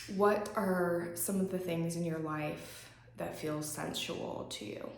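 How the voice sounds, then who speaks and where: A woman's fairly low voice at a very slow pace, with ordinary pitch variation, noticeable background noise and audible room echo. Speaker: yoga instructor. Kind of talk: guided yoga class and journaling prompts. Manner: casual, with frequent um fillers.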